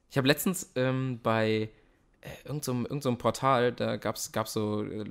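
In a very clean recording with a silent background, a man with a normal speaking voice talks at medium pitch with fairly even intonation. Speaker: actor. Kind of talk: interview. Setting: host's home.

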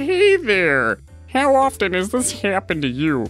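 Clear music plays behind a man who talks at a medium tempo. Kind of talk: parody commercial pitch. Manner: upbeat, salesy.

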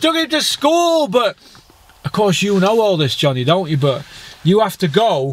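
A man talks at a moderate pace, his pitch swinging very widely. The sound is dry with no echo. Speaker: boxing fan vlogger. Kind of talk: ranting commentary. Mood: angry, mocking rant. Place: car. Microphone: phone near.

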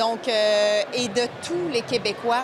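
A woman's voice over music in the background. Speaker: government minister. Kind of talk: interview answer. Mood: proud, enthusiastic. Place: hall. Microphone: handheld.

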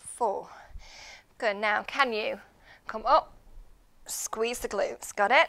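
A woman speaks in an upbeat tone at a very slow pace. Her pauses are long and frequent. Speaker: fitness instructor. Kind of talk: live guided workout class, instructing and counting reps. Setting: live online class, video workout. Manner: upbeat, clear and encouraging, giving cues and counting reps; steady, paced, rhythmic. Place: gym.

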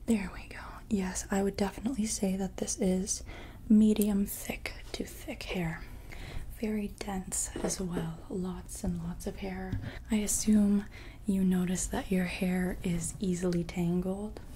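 A soft-spoken woman at a fairly slow pace, with light background noise. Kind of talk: soft-spoken ASMR roleplay consultation. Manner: soft-spoken, close-mic ASMR voice. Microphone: earbuds.

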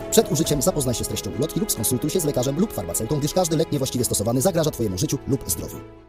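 Over music in the background, a man talks at a very fast pace with hardly any pauses, his fairly high voice making very wide pitch swings. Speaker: voice actor. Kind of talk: TV commercial read. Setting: studio.

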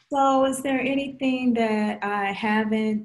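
A somewhat breathy woman's voice with fairly even intonation, on a very clean recording with a silent background. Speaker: professor and interviewer. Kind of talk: oral history interview.

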